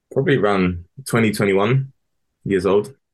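The speaker talks at a moderate pace with a London accent. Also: man. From London, Harrow. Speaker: former footballer. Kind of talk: interview. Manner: halting.

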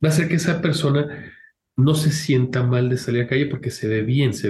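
A man talks in a somewhat breathy voice, with audible room echo in the recording. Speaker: medical geneticist. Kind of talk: interview.

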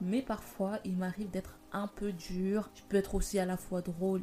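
Delivery is fairly slow, with monotone, flat intonation. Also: woman. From Paris, France. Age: 20s. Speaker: podcast host. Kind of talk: casual monologue.

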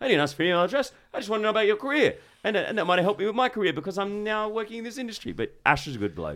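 Someone with an Australian accent talks at a very fast pace in a very clean recording with a silent background. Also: man, high pitch for a man, ordinary pitch variation. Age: 40s. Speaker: podcast host. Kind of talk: casual chat.

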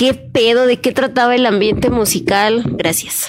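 A woman talks fairly slowly as background noise remains noticeable. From Mexico City. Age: 20s. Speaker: singer. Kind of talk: casual chat.

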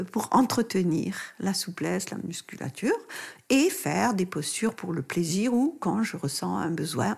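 Using vocal fry, a woman speaks at medium pitch and a fairly slow pace with very wide pitch swings. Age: 70s. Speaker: doctor and author on pregnancy and postpartum care. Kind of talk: interview. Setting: in-person studio recording with masks over the mics.

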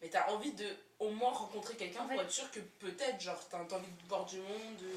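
A woman speaks at a fairly quick pace in a fairly high pitch with ordinary pitch variation, with noticeable background noise and audible room echo. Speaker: podcast host. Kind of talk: casual chat. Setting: recorded with friends on Friday evening. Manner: animated.

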